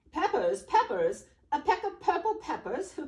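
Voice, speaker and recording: Moderate pace and extremely high pitch in a put-on character voice. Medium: read story.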